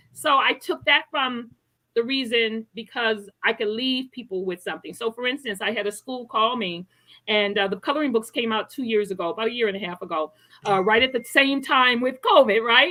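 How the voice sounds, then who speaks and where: Delivered at a fairly quick pace with ordinary pitch variation, this is a plain, everyday voice. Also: woman. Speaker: health coach and author. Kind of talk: interview.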